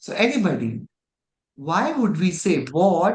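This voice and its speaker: The speaker has an Indian accent. The pace is very slow. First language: Indian language. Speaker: religious studies teacher. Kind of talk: online class lecture.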